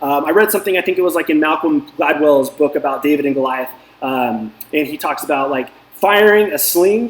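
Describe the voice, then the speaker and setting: A man talks at a fairly quick pace in an animated tone. There is noticeable background noise. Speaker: DFS coach and video host. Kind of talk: casual motivational talk. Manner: fast.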